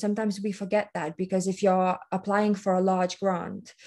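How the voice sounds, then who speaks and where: With a non-native accent, a woman of medium pitch talks at a moderate pace in a dark, mellow tone with monotone, flat intonation against a quiet background. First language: not English. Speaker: workshop presenter. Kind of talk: workshop presentation. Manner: hesitant, with many fillers and restarts.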